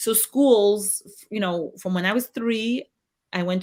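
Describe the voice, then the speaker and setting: A woman talks at a moderate pace with ordinary pitch variation. Her pitch sits in the medium range. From Canada, Toronto. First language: Yiddish. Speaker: ex-member of ultra-Orthodox community. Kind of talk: interview. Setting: live stream video call.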